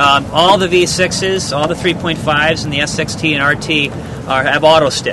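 Noticeable background noise sits behind the recording. A man speaks, and the sound is dry with no echo. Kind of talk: product presentation. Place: street. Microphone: lapel.

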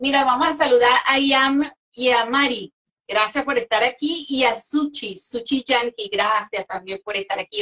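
A woman with a bright, sharp tone and high pitch talks at a fairly slow pace against a quiet background. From Venezuela. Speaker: interviewer and music show host. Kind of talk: interview chat. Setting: live online interview. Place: home room.

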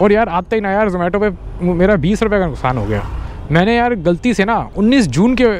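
A moderate pace, a dry sound with no echo and light background noise. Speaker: food delivery rider vlogger. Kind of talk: casual vlog chat. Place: motorbike. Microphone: helmet.

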